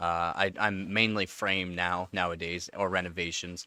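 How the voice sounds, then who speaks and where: With a Canadian accent, a man of very deep, low pitch speaks in a monotone, flat intonation, his tone bright and sharp and the sound dry and close with no echo. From rural Canada. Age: 30s. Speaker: tech streamer and construction worker. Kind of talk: casual live stream chat. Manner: casual, hesitant with many fillers.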